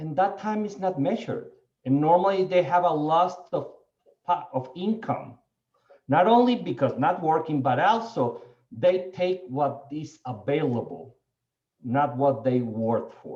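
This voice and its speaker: A man with a non-native accent speaks at high pitch in a dark, mellow tone. His intonation is lively and his pace fairly slow. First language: not English. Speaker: panelist on diversity in the seed industry. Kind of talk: panel discussion. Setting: webinar video call.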